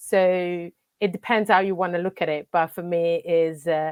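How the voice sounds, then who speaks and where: In an Italian accent, a woman speaks with a dry, close sound and no echo, the background quiet. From Italy. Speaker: football coach and academy manager. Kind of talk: interview conversation. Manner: halting, many fillers.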